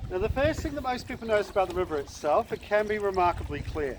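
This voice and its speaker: Against noticeable background noise, a man with a high pitch speaks at a very fast pace with lively intonation. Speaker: gondola tour guide. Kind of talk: guided tour commentary. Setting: outdoors on a river boat.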